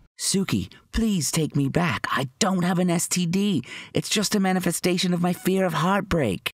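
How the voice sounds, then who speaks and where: At a moderate pace, a man puts on a raspy, high-pitched character voice. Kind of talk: comic cartoon acting. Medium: cartoon. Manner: earnest, self-pitying.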